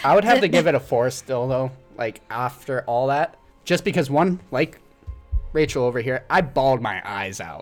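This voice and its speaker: Lively intonation marks a voice with an American accent, set against music in the background. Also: man. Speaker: podcast panelist reviewing a musical film. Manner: casual, enthusiastic, emotional.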